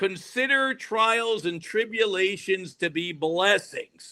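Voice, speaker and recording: A man with an American accent speaks at a fairly slow pace in a raised, projected voice, his pitch high and its variation ordinary. The tone is bright and sharp, and the recording is very clean with a silent background. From US Northeast, Rhode Island. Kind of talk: casual podcast interview. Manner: animated.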